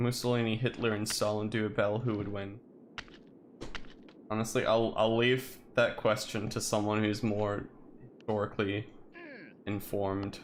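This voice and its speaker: A man's fairly low voice in a flat monotone at a moderate pace, with long, frequent pauses and audible room echo. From Turkey. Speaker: streamer. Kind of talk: casual chat.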